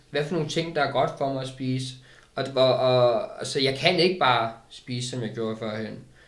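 A man talks with audible room echo. Noticeable background noise is present. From Denmark, Køge. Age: 30s. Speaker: recovered addict. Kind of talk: casual interview. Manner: halting.

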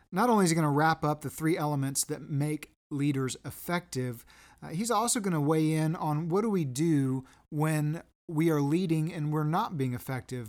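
A man talks in an ordinary speaking voice, fairly high in pitch with ordinary pitch variation. His pace is moderate, and the recording is very clean with a silent background. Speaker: podcast host. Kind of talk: interview.

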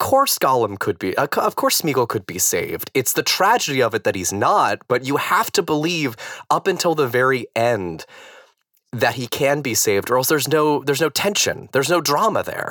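This bright, sharp voice, marked by vocal fry, moves at a moderate pace through very wide pitch swings. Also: man. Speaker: podcast host guest. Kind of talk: casual chat.

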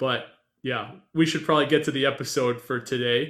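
This man has an ordinary speaking voice, talking at a moderate pace with medium pitch. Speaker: podcast co-host. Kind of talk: casual chat.

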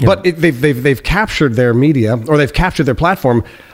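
Lively intonation comes at a very fast pace over noticeable background noise. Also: man. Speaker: YouTube political commentator. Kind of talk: casual chat.

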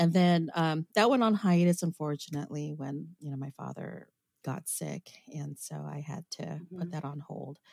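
A woman's very deep, low voice at a moderate pace, with ordinary pitch variation, big swings in loudness, and a dry, close sound with no echo. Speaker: podcast co-host; voiceover artist and stage performer. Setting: podcast studio. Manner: chatty, storytelling.

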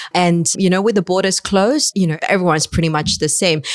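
The speaker has a Chinese accent. The sound is dry and close, with no echo. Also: woman. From China. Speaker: fund manager. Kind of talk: interview.

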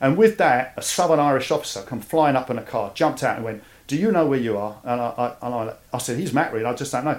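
Very fast, lively-intoned speech in a London accent with hardly any pauses. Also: man, medium pitch for a man. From East London, England. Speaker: army veteran. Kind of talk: interview.

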